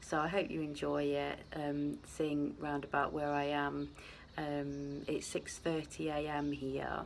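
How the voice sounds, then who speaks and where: A soft-spoken woman with a British accent and a very deep, low voice talks very slowly in a monotone, flat way, her loudness very even, with audible room echo. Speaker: vlogger. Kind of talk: casual vlog chat. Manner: hesitant.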